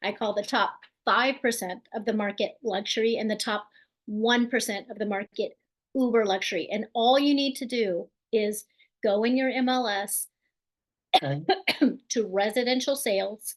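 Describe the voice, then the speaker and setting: A woman's unremarkable speaking voice, fairly high, at a fairly slow pace with ordinary pitch variation over a quiet background. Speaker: real estate agent and team leader. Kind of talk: webinar presentation. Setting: online webinar.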